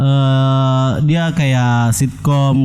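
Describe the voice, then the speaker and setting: This is a man's voice. The intonation is fairly even. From Makassar, South Sulawesi, Indonesia. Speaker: stand-up comedian. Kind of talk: casual interview chat.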